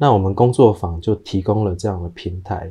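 Somewhat breathy and very deep in pitch, a man speaks in a dark, mellow tone with ordinary pitch variation. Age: 30s. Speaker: pet funeral professional. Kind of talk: interview.

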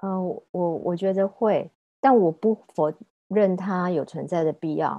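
A woman's ordinary speaking voice, medium in pitch, with ordinary pitch variation and a fairly slow pace. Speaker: food journalist and former magazine editor. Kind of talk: casual interview chat.

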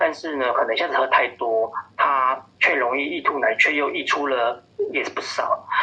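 The speaker keeps a moderate pace over noticeable background noise. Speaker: pediatrician. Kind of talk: interview. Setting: phone call. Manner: hesitant, many fillers.

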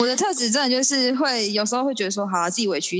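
The speech races along very fast with lively intonation. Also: woman. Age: 20s. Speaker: podcast guest. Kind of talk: casual chat.

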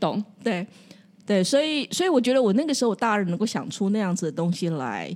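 Talking at a fairly quick pace, a woman with a medium pitch makes very wide pitch swings. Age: 60s. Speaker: counseling psychologist. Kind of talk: casual chat.

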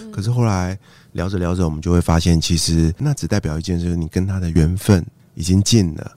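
The man's voice is very deep and low, with a dark, mellow tone. He moves at a fairly quick pace with ordinary pitch variation. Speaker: podcast host. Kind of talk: interview conversation. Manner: soft-spoken.

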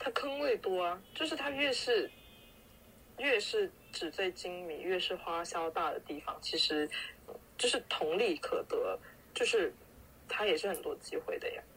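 Pausing long and often, a woman speaks at a fairly slow pace. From Guangdong (Foshan). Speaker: podcast co-host. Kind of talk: casual chat.

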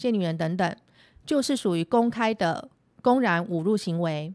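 An ordinary speaking voice moves at a fairly slow pace with lively intonation. The recording is very clean, with a silent background. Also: woman. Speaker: lawyer. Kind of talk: scripted legal explainer podcast.

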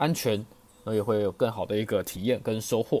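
A man speaks at a moderate pace with a dark, mellow tone and a fairly low pitch. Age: 20s. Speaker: podcast host. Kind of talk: storytelling. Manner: casual, hesitant with fillers.

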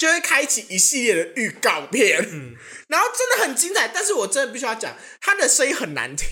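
Talking fairly quickly over noticeable background noise, a woman uses a raised, projected voice that sits high, with an animated tone and very wide pitch swings. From Taiwan, Hsinchu. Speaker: podcast co-host. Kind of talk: casual chat.

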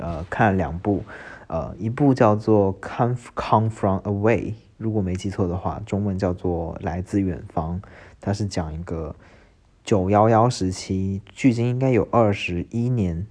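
A man speaks at a fairly slow pace in a fairly low voice. His pitch varies in an ordinary way, and the background is quiet. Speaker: podcast host. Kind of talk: casual solo monologue. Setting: at home, recording at 4:30 am. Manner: rambling with many fillers.

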